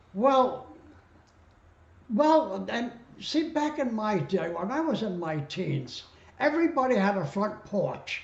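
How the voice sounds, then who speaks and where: Very slow, high-pitched male speech with very wide pitch swings, long and frequent pauses, and noticeable background noise. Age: 80s+. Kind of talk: interview answer.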